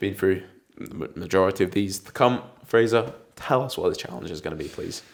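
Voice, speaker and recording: Lively intonation at a fairly quick pace, with big swings in loudness and an English accent. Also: man, fairly low pitch for a man. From England. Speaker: football podcast host. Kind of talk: casual chat.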